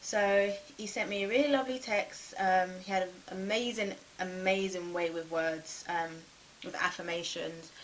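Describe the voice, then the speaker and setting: With audible room echo, a woman talks at a moderate pace in a medium pitch with ordinary pitch variation. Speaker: YouTuber telling dating stories. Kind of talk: storytime vlog.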